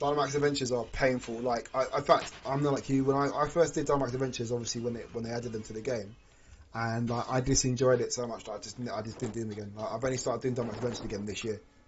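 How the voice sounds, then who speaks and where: The speech moves at a very fast pace. The voice is somewhat breathy. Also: man, medium pitch for a man. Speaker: gaming streamer. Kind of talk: live stream chat. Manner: animated.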